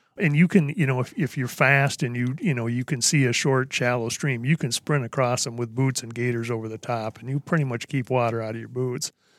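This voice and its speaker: A man's ordinary speaking voice with an American accent, medium in pitch, at a fairly quick pace with hardly any pauses and fairly even intonation, dry and close with no echo, on a very clean recording with a silent background. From US Midwest. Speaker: hunting guide. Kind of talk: casual chat.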